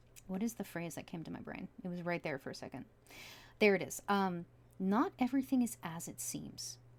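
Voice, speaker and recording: Talking at a fairly quick pace, a woman with a fairly low pitch sounds somewhat breathy, her pitch swinging very widely and her loudness swinging a lot. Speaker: tarot reader. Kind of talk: tarot reading. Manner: casual.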